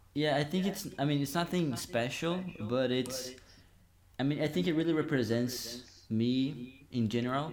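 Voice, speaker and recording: Very fast and in a Brazilian accent, a man speaks at medium pitch with ordinary pitch variation and big swings in loudness. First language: Portuguese. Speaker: university student, guest. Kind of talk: casual podcast chat.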